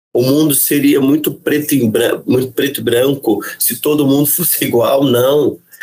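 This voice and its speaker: A man speaks at a moderate pace. He hardly pauses at all. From Brazil, Caçapava, São Paulo state. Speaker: city councillor and teacher. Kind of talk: interview conversation.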